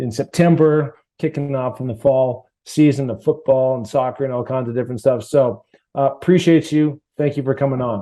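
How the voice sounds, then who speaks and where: An unremarkable speaking voice from a man at a medium pitch, with fairly even intonation and a moderate pace. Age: 60s. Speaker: podcast host, former pro football player. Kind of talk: podcast interview. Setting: video call.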